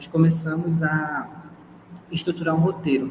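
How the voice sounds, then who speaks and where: Noticeable background noise surrounds a man who talks with a fairly high pitch. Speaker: university student presenting a podcast project. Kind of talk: project presentation.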